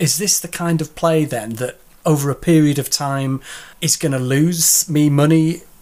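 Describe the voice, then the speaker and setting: Here a man with a Yorkshire accent speaks at a moderate pace in a fairly high, dark and mellow voice with fairly even intonation. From Yorkshire, England. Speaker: podcast host. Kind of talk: casual interview. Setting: video call.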